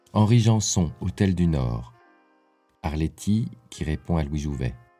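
A man speaks very slowly with a very deep, low pitch. His pitch swings very widely over music in the background. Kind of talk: reading aloud of a film script excerpt.

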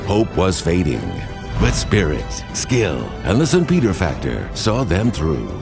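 A man with an American accent speaks at a fairly slow pace in a very deep, low voice, using very wide pitch swings and a dramatic tone. Music plays in the background. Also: very even loudness. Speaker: voice actor. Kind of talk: movie trailer style sports promo narration.

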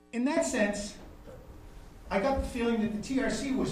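Light background noise and audible room echo accompany the man as he speaks. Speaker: audience member. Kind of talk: audience Q&A. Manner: halting. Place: hall.

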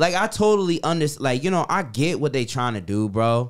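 Very wide pitch swings run through a man's speech at a moderate pace. The recording is very clean, with a silent background. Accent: New York. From New York City. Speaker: soldier. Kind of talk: casual chat.

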